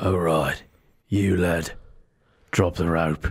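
A man does a put-on character voice, raspy and very deep. His delivery is monotone and flat. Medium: actual play.

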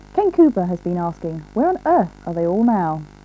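Her tone is dark and mellow as this woman talks at a fairly quick pace. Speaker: regional TV news presenter; TV news presenter. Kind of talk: 1980s regional TV news broadcast, scripted presenter intro. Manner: wry, formal, mock-grand. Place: studio. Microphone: lapel.

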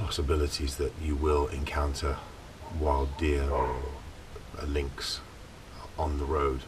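Noticeable background noise sits behind a man who speaks at a fairly slow pace. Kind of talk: casual vlog chat. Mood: relaxed storytelling. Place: open country. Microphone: camera far.

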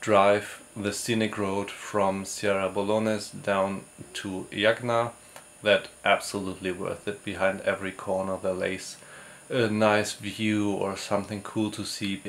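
A man's fairly low voice, very slow and monotone with flat intonation, over light background noise. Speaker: travel vlogger. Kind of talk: casual vlog chat. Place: home room. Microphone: phone near.

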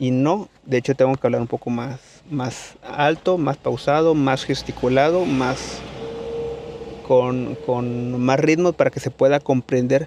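A man talks at a fairly slow pace in a slightly mellow tone. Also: medium pitch for a man, ordinary pitch variation.

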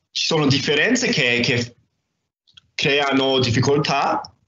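The voice shows ordinary pitch variation, and room echo can be heard. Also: man. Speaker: doctoral student. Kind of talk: presentation. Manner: halting, many hesitations; slow. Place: home room. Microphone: video call.

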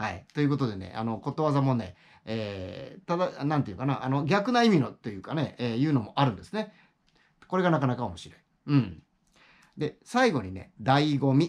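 Over a quiet background, a man with fairly high pitch talks at a moderate pace, his loudness swinging widely and his pitch swinging very widely. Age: 60s. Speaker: YouTuber, retired office worker; YouTuber. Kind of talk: casual monologue; casual vlog chat. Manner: halting, many fillers. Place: home room. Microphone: phone near.

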